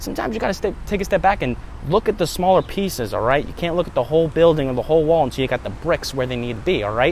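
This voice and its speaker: Against noticeable background noise, a man speaks at a very fast pace with lively intonation. His voice sits at a fairly high pitch. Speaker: self-help vlogger. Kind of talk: motivational talk.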